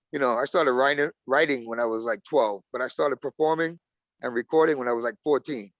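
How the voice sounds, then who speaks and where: In a Brooklyn accent, a man speaks at a fairly quick pace with a fairly high pitch and ordinary pitch variation. The sound is dry and close with no echo, over a quiet background. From Brooklyn, New York. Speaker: rapper. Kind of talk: casual interview.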